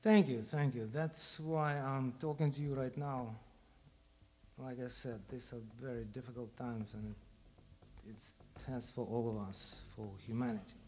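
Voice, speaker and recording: A man with a Russian accent speaks at a moderate pace and medium pitch, in a dark, mellow tone with ordinary pitch variation. Long, frequent pauses break up his speech, and audible room echo is present. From Ukraine. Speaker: bandleader. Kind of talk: speech to audience between songs. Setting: stage with audience.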